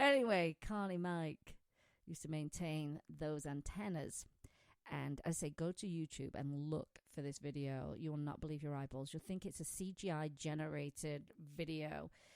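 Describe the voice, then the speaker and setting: In a British accent, a woman with a very deep, low pitch speaks at a moderate pace with fairly even intonation, the sound dry and close with no echo. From Britain. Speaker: pet radio show host. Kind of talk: casual radio chat.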